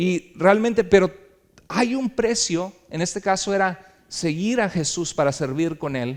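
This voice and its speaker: A man's voice sits at a high pitch. Lively intonation marks his speech. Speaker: pastor. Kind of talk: sermon. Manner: animated.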